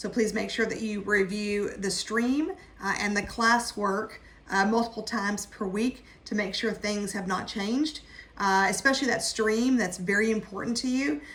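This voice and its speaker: A woman with a fairly high pitch speaks at a moderate pace with fairly even intonation over noticeable background noise. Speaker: college instructor. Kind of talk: online class orientation. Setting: video call.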